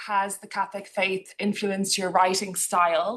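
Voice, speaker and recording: Sharp and bright, the tone cuts clearly. Behind it, the background stays quiet. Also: woman. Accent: Irish. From Ireland. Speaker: book club host. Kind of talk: book club interview.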